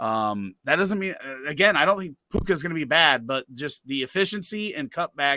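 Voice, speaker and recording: Loud and animated, a man with a fairly high pitch delivers a bright, sharp tone with very wide pitch swings in a dry, close sound with no echo. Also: moderate pace. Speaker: fantasy football show host. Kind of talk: live Q&A stream.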